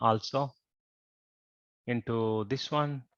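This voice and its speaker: A man's bright, sharp voice at medium pitch comes through dry and close with no echo, over a quiet background. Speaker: robotics team coach. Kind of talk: coding tutorial.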